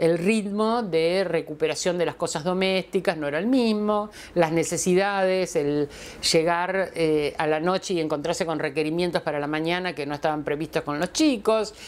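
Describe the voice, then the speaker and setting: This is a woman with a plain, everyday voice and a fairly low pitch. She talks at a moderate pace with ordinary pitch variation. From Argentina. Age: 60s. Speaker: feminist philosopher; interviewee. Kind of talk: testimonial interview. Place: home room. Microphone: lapel.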